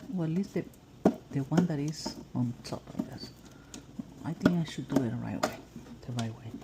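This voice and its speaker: A woman with a very deep, low voice speaks at a moderate pace, her intonation lively and broken by long, frequent pauses. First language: Spanish. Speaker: house cleaning business owner. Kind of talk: tutorial. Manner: halting.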